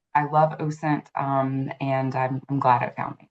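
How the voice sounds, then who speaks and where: A woman's very deep, low voice with an American accent, at a fairly slow pace. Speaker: intelligence professional, podcast guest. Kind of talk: podcast interview.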